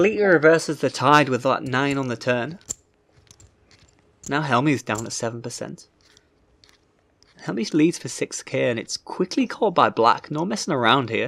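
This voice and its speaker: Speaking at a moderate pace with long, frequent pauses, a man uses lively intonation in a fairly high voice. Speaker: poker commentator / pundit. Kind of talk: poker commentary audition.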